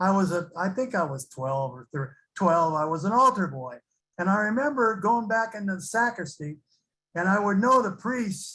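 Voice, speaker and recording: A man with an American accent speaks in a raised, projected voice, high-pitched, bright and sharp, at a moderate pace. His intonation is lively, and the recording is very clean with a silent background. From California (Santa Barbara). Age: 70s. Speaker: recovering alcoholic sharing experience. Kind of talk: recovery testimony. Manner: halting, many fillers.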